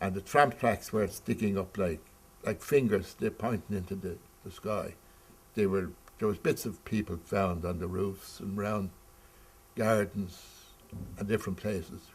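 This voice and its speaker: A man with a Dublin accent speaks at a moderate pace and fairly low pitch, with ordinary pitch variation. Long pauses come often. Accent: Dublin Irish. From Ireland, Dublin. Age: 70s. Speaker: eyewitness interviewee. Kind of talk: oral history interview. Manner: halting.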